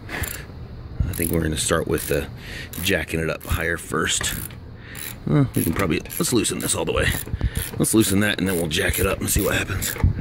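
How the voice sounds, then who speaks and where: A man talks with a very deep, low pitch and ordinary pitch variation. The sound is dry with no echo, and background noise is noticeable. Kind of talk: casual tutorial commentary. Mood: mildly frustrated, wry. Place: street. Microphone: phone near.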